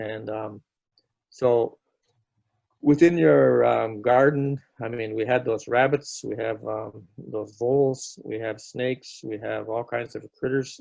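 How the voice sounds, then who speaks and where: At a very slow pace, a man with a medium pitch and ordinary pitch variation speaks with big swings in loudness. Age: 70s. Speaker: First Nations elder and storyteller. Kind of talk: casual talk on a video call. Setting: video call. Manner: hesitant, many filler words.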